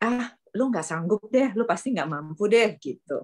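A woman speaks fairly slowly with lively intonation in a normal speaking voice. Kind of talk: group discussion. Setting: video call.

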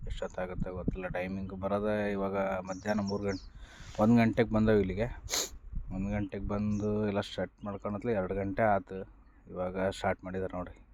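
The man's pitch sits fairly low. He speaks in a flat monotone. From Byadgi area, Haveri district, north Karnataka. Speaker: vlogger and ready-mix concrete worker. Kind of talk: casual vlog narration.

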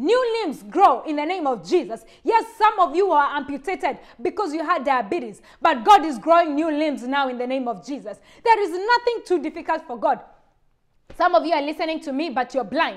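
Against a quiet background, a woman speaks fairly quickly in a high, passionate voice with very wide pitch swings. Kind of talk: fervent healing prayer, commanding demons to leave. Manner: forceful, emphatic, commanding; urgent, passionate, rising intensity. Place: home room. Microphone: lapel.

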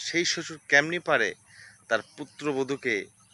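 Dry and close with no echo, a man's voice has a bright, sharp tone at a fairly high pitch. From Bangladesh, Bogura (Shibganj). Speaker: local news video creator. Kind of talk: news commentary monologue. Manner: animated.

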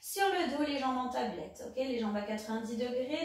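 Faint music plays in the background while a woman speaks at a high pitch. Room echo is audible. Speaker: fitness instructor. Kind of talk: exercise class instruction. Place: home room. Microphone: camera far.

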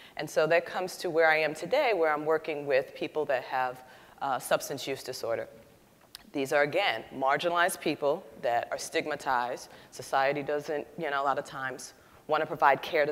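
A woman speaks at a fairly quick pace. Her very deep, low pitch stays with fairly even intonation. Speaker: panelist. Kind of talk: panel discussion answer. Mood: earnest, reflective. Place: hall. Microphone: lapel.

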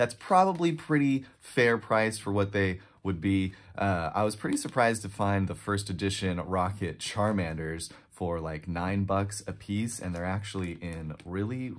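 A man speaks at a moderate pace with a fairly low pitch and ordinary pitch variation. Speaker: card collector vlogger. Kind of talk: casual vlog chat. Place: home room.

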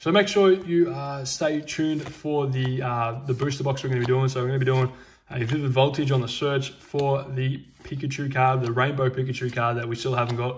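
A man talks at a fairly quick pace in a somewhat breathy voice. Light background noise sits behind him. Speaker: Pokemon card unboxing YouTuber. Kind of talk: card unboxing commentary. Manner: animated.

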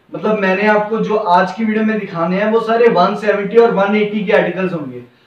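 Audible room echo surrounds a man talking at a fairly quick pace in a high pitch. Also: ordinary pitch variation.

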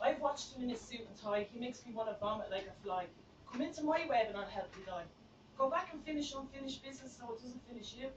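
Very fast and high-pitched, a woman talks with a Dublin accent and lively intonation. Her loudness swings widely, and there is noticeable background noise. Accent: Irish (Dublin). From Ireland. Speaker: spoken word poet. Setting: open mic night in a bar, live audience. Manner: intense, rhythmic, confessional, punchy rhymes. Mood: intense, emotional. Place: bar. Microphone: phone near.

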